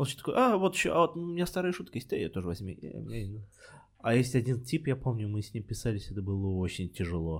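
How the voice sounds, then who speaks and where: A man at a medium pitch races along at a very fast pace with very wide pitch swings on a very clean recording with a silent background. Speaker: podcast host and stand-up comedian. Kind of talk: casual chat.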